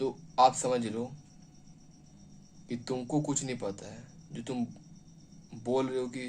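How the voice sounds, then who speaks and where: A man's medium-pitched voice with fairly even intonation, big swings in loudness, and long, frequent pauses. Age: 20s. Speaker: motivational speaker. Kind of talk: motivational talk. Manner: halting.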